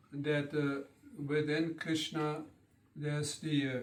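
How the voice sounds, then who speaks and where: Speaking with a German accent, a man uses a fairly high pitch at a very slow pace. Audible room echo surrounds his voice. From German-speaking country. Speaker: spiritual teacher. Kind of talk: lecture. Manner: halting.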